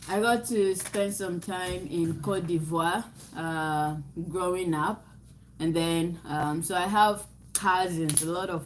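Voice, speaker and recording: Audible room echo surrounds a woman. She speaks at a very slow pace with fairly even intonation. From Ghana. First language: Nzema. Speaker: livestream co-host. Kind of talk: casual chat.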